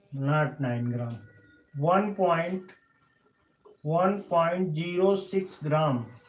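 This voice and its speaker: Speaking very slowly with long, frequent pauses, a man with an Indian accent uses a high pitch and ordinary pitch variation amid audible room echo. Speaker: chemistry teacher. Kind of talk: lecture. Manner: halting.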